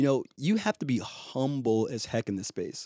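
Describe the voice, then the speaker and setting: An American-accented man speaks at a fairly high pitch with a dark, mellow tone. The sound is dry and close with no echo, in a very clean recording with a silent background. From Boston. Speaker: crypto recruiter. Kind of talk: interview conversation. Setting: apartment recording.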